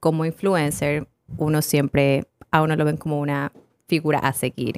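Fairly slow and fairly even in intonation, a woman is recorded with a dry, close sound and no echo. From Ecuador. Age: 20s. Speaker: fitness coach and influencer. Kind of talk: casual chat.

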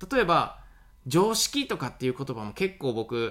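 Very wide pitch swings run through this voice at a moderate pace. The recording is very clean, with a silent background. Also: man. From Awaji Island, Hyogo. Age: 30s. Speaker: farmer and podcaster. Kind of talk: solo podcast monologue. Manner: casual with many fillers.

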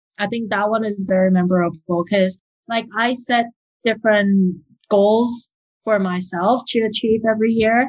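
Speaking with a Taiwanese-Canadian accent, a woman uses a somewhat breathy, fairly high voice with fairly even intonation at a moderate pace. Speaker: wedding planner. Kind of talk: interview.

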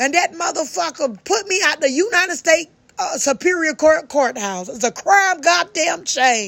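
A woman speaks loudly at an extremely high pitch. Her pitch swings very widely. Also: moderate pace. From US South, Georgia. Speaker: podcaster, singer-songwriter. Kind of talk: personal vlog rant. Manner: agitated, profane.

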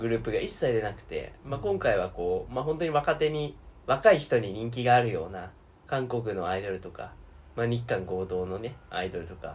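A man's somewhat breathy voice at medium pitch, moderate in pace, with lively intonation. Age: 20s. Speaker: podcast co-host. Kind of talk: casual chat. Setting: at a friend's home.

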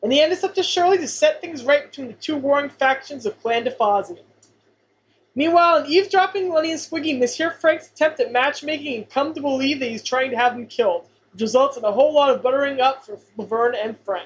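This woman talks at a fairly quick pace in a high voice. Her intonation is lively. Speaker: podcast co-host. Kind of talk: casual podcast discussion.

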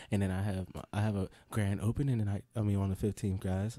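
A man with an American accent speaks at a fairly quick pace and a fairly low pitch, his tone dark and mellow and his intonation monotone and flat. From Pittsburgh area, Pennsylvania. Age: 20s. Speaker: stand-up comedian. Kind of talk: casual chat.

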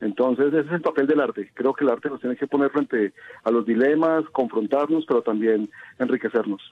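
A man with a plain, everyday voice talks at a fairly quick pace, with medium pitch and ordinary pitch variation. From Colombia, Quindío (Quimbaya). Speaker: photographer and audiovisual producer. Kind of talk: radio interview.

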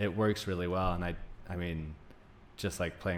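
Audible room echo surrounds a man's very deep, low voice. His intonation is fairly even. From Greece, Turkey and Denmark in childhood, then US. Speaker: naturopathic doctor. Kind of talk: casual interview chat.

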